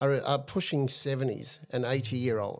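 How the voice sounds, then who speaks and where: On a very clean recording with a silent background, a man with an Australian accent speaks at a fairly high pitch. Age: 60s. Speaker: advocate for institutional abuse survivors. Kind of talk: interview testimony.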